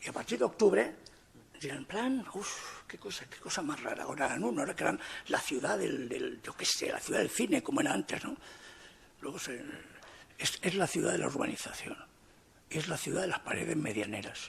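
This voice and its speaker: Over noticeable background noise, a man speaks at a fairly quick pace broken by long, frequent pauses. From Spain, Alicante. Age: 60s. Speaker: writer, debate panelist. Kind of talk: panel debate. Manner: animated.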